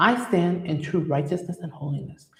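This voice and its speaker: A woman talks at a fairly quick pace in a fairly low pitch. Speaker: licensed clinical social worker hosting a faith-based parenting show. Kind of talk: motivational talk. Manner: fast; sometimes trips over words.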